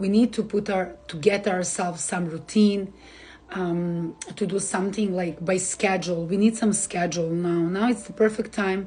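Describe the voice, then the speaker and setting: A woman speaks with a Serbian accent in a dark, mellow tone. Her voice is somewhat breathy, and her intonation fairly even. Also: medium pitch for a woman, moderate pace. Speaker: astrologer. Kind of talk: live stream forecast. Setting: Instagram live stream. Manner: hesitant, many fillers.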